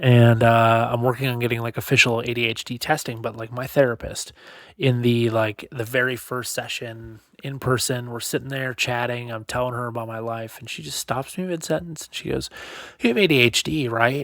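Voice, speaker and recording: Speaking at a fairly quick pace, a man keeps a medium pitch. His intonation is fairly even, but his loudness swings a lot. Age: 30s. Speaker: podcast host. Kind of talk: casual monologue. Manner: fast.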